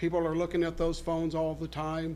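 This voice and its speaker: A loud man with a high-pitched voice speaks amid audible room echo. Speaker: sales presenter. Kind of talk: sales pitch. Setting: city council meeting. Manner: halting.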